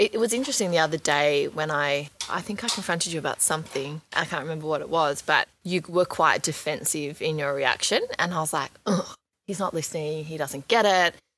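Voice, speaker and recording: The speaker has an Australian accent and talks at a fairly quick pace. Pitch varies in an ordinary way. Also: woman, very deep, low pitch for a woman. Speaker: reality TV personality. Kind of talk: casual interview chat. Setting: video call.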